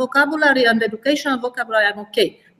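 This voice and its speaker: The speaker talks in a Romanian accent with ordinary pitch variation. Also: woman. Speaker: math teacher. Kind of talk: webinar discussion. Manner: halting, many fillers.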